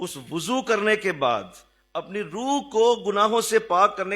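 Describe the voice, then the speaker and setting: A man's high-pitched voice. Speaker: religious teacher. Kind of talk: sermon.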